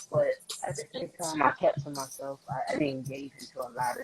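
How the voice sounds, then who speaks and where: A man speaks in a New York accent at a moderate pace. Music plays in the background. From New York, the Bronx. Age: 20s. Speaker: rapper. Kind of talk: interview. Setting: live-streamed video call.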